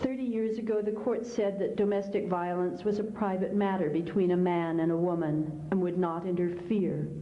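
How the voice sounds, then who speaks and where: Talking at a moderate pace with hardly any pauses and very even loudness, a woman with an American accent is heard through audible room echo and noticeable background noise. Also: medium pitch for a woman, ordinary pitch variation. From US Midwest, Kansas. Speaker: author. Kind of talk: keynote speech.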